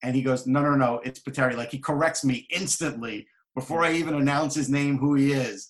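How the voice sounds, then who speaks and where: A man with an American accent talks at a fairly quick pace in an ordinary speaking voice, his fairly high pitch carrying fairly even intonation. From New York. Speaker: hockey journalist and author. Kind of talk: casual chat.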